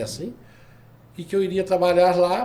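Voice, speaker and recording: There is audible room echo as a man speaks. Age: 70s. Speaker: retired labor judge and lawyer. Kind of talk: podcast interview.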